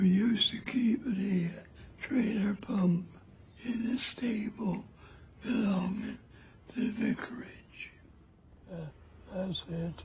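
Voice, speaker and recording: The voice moves at a very slow pace with long, frequent pauses and ordinary pitch variation. Noticeable background noise sits behind it. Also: man, high pitch for a man. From Somerset, England. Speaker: First World War veteran. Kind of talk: interview answer.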